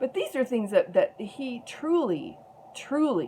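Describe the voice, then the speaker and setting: A woman at a very slow pace, her pitch swinging very widely. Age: 60s. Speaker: activist vlogger. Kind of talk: personal testimony vlog.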